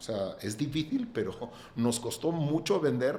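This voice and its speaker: A man is speaking. His pitch swings very widely. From Catalonia, Spain. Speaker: real estate developer. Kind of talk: podcast interview.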